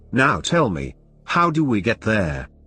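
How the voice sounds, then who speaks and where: A man's put-on character voice, growling, with very wide pitch swings, at a fairly slow pace over faint background music. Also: medium pitch for a man. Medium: read story. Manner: slow, menacing.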